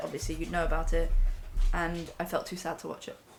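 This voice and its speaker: A woman in an English accent, fairly even in intonation, with audible room echo. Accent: straight English. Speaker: streamer and actress. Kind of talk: casual chat. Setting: live stream at home.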